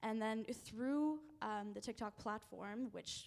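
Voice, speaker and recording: Here a woman speaks with a French-Canadian accent. Her pitch sits in the medium range and her intonation stays fairly even. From Canada. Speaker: youth advocate. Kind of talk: panel interview. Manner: halting.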